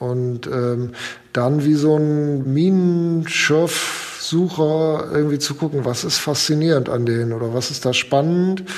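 A man with a fairly high pitch and ordinary pitch variation talks fairly slowly, with noticeable background noise and audible room echo around him. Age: 50s. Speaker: foundation executive and lawyer. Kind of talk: casual interview. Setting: remote call from his office.

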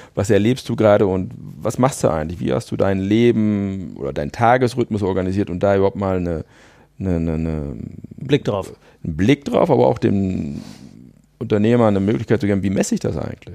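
A man speaks with a fairly low, dark and mellow voice. His intonation is lively against a quiet background. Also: moderate pace. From Münsterland, north-western Germany. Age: 50s. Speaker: business coach. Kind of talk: podcast interview.

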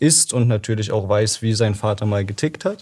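A somewhat breathy man at a moderate pace, very clean recording, silent background. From Germany, Dresden (Saxony). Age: 20s. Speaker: library volunteer presenting a book. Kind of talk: casual interview about a book.

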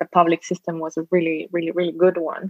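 A woman speaks with a Spanish accent. The sound is dry and close with no echo. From Costa Rica. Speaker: social entrepreneur. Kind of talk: interview.

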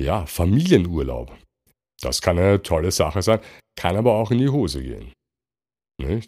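This man has a very deep, low voice with a dark, mellow tone and vocal fry, and his pitch swings very widely. He speaks at a moderate pace with long, frequent pauses, in a very clean recording with a silent background. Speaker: podcast host. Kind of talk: solo podcast monologue. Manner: relaxed.

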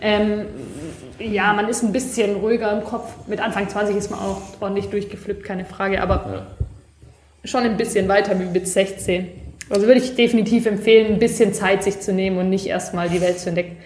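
A woman's medium-pitched voice at a fairly quick pace, monotone and flat, with audible room echo. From Stuttgart, Germany. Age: 20s. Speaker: craft business office worker and podcast co-host. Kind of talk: casual chat.

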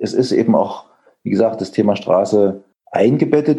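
A man's dark, mellow voice moves at a moderate pace with lively intonation. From Thuringia, eastern Germany. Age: 50s. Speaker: photographer. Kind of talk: interview. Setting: video call.

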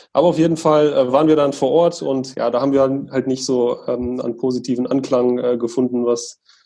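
The voice has a dark, mellow tone. Its intonation is fairly even. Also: man. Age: 20s. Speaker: sports association co-founder. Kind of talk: casual interview. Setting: online call.

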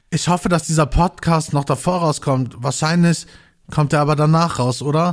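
The recording is very clean with a silent background. A man speaks at a fairly high pitch with fairly even intonation. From Ruhr area, Gelsenkirchen. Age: 30s. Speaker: podcaster, social worker and musician. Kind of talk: casual solo podcast. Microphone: new expensive microphone.

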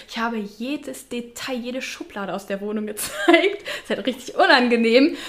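A woman talks in a high voice with lively intonation and hardly any pauses. Noticeable background noise runs under her speech. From Mönchengladbach, Lower Rhine, Germany. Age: 20s. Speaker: influencer. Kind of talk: casual interview chat.

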